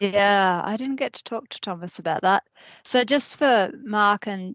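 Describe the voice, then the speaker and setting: A woman with an Australian accent speaks at a medium pitch with ordinary pitch variation, in a dry, close sound with no echo. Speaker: spiritual group facilitator. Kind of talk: casual chat.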